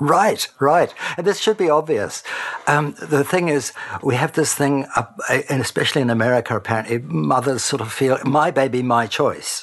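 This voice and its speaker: With a New Zealand accent, a man speaks at a moderate pace and a fairly high pitch over noticeable background noise. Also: ordinary pitch variation. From New Zealand, Christchurch. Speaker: retired broadcaster and intactivist advocate. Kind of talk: interview.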